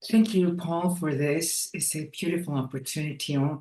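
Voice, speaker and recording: The woman's voice is very deep and low in pitch. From Ecuador. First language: Spanish. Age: 70s. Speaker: breathwork trainer. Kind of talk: interview. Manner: halting.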